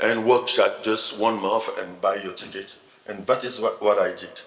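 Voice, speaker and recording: This man has a French accent. He talks at a moderate pace. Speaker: novelist. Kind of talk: panel discussion at literary festival. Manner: halting, repeats words.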